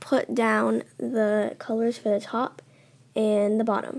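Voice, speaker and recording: Very slow in pace, a woman talks. Her pitch is fairly high. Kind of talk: app tutorial voiceover.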